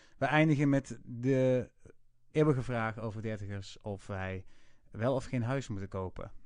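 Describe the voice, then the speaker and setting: With an unremarkable speaking voice, the speaker goes at a fairly slow pace with ordinary pitch variation over a quiet background. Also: man, medium pitch for a man. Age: 30s. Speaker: podcast host. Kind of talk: casual podcast intro and outro.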